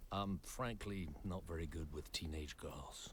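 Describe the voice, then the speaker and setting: Over clear background noise, a man does a cartoonish character voice with a very deep, low pitch at a fairly slow pace. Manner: grave, measured.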